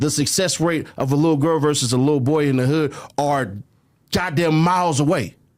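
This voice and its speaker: Fairly high in pitch, a man with an American accent has an ordinary speaking voice, ordinary pitch variation, very even loudness and a fairly quick pace. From California. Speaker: media personality. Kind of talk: casual chat.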